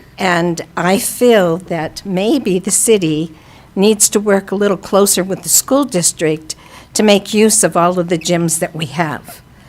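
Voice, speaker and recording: A woman speaks at a fairly slow pace with a medium pitch and ordinary pitch variation, over noticeable background noise. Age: 80s+. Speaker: retired teacher and administrator. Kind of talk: public comment. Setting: city council meeting.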